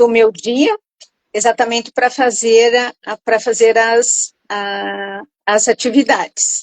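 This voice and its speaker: A woman speaks very slowly at a fairly high pitch, in a monotone, flat intonation. The sound is dry and close, with no echo. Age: 60s. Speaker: retired teacher, program participant. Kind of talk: interview testimony. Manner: halting, many repetitions.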